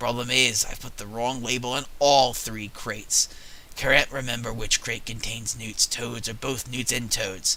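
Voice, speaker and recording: A raspy put-on character voice at a moderate pace, with clear background noise. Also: man, medium pitch for a man. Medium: game stream. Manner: nervous, apologetic.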